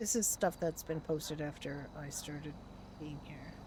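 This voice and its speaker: A woman speaks at a moderate pace in a relaxed, dark and mellow tone, with vocal fry and fairly even intonation. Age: 60s. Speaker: livestreamer, roleplay gamer. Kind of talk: casual chat. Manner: relaxed, chatty.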